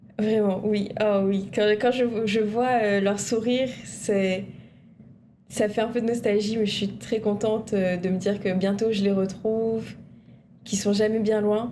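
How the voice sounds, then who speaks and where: A woman with a dark, mellow tone speaks very slowly in a monotone, flat intonation. Audible room echo surrounds her voice. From Réunion, Saint-André. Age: 20s. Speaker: university student. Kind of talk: TV interview.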